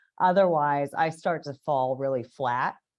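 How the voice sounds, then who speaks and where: A woman's very deep, low pitch with ordinary variation, over a quiet background. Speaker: meeting host presenting a book summary. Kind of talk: lecture.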